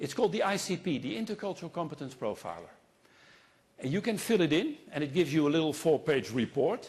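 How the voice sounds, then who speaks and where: A man with a Dutch accent speaks very fast in a fairly high pitch, his intonation lively. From Netherlands. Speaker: consultant and keynote speaker. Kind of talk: keynote speech. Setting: stage with audience. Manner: animated.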